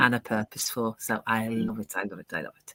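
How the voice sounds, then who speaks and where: Speaking with an English accent at a moderate pace, a woman has a bright, sharp tone, captured in a very clean, dry, close recording with a silent background and no echo. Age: 60s. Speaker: digital business owner. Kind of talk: interview.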